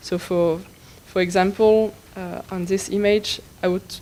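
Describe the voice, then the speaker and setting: A woman with a French accent speaks at a fairly slow pace in a monotone, flat intonation. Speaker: tutorial instructor. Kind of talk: tutorial. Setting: conference room with live audience. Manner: halting, with many fillers.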